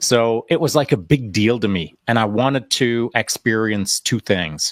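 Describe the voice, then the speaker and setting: A man with a plain, everyday voice talks at a fairly slow pace. The sound is dry and close with no echo, on a very clean recording with a silent background. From Canada (Alberta), born in England. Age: 60s. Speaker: retired special forces sniper. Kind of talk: interview conversation. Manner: casual, many fillers and repeats.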